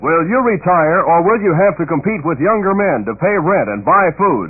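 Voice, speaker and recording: A man with a high pitch talks at a moderate pace with lively intonation. Noticeable background noise is present. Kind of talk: radio commercial read. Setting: 1960s AM radio broadcast.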